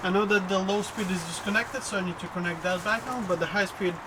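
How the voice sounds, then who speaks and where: Noticeable background noise fills the recording. The words come out at a very fast pace. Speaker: car hobbyist vlogger. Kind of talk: casual DIY video narration.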